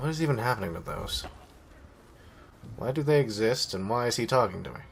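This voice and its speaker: Over noticeable background noise, a man at medium pitch talks with ordinary pitch variation and big swings in loudness. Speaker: gaming commentator. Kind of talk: casual let's play commentary.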